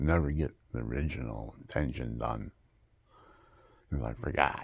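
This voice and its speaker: At a moderate pace, a man speaks with vocal fry at a very deep, low pitch, his pitch varying in an ordinary way. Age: 70s. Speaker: video blogger. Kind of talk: emotional personal monologue.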